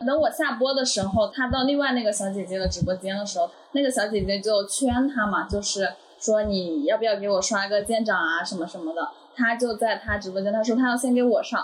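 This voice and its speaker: A fairly quick pace of speech, with noticeable background noise. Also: woman, fairly high pitch for a woman, ordinary pitch variation. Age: 20s. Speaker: former live streamer. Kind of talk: casual chat.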